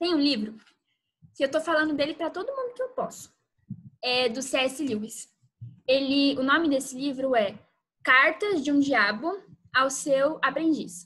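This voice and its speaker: The bright, sharp tone moves at a fairly slow pace, broken by long, frequent pauses, with ordinary pitch variation. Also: woman, high pitch for a woman. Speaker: youth church speaker. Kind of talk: youth Bible talk. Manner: casual, conversational.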